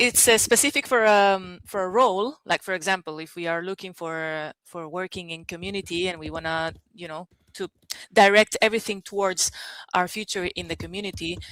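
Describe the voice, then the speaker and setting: A woman with a non-native accent talks fairly quickly at a medium pitch, with ordinary pitch variation. Her loudness swings a lot, and the sound is dry and close with no echo. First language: not English. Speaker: workshop participant. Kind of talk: question in online workshop.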